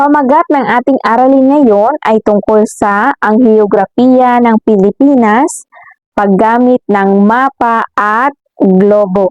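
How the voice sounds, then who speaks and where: In a dry, close sound with no echo, a woman speaks very slowly at a fairly high pitch. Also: ordinary pitch variation. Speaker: elementary school teacher. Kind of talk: lesson for children.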